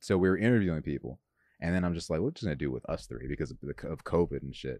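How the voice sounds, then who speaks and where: A man's very deep, low voice with a dark, mellow tone and vocal fry, ordinary pitch variation and a very fast pace. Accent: American. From Los Angeles, California. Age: 20s. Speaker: comedian. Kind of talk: casual chat. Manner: animated.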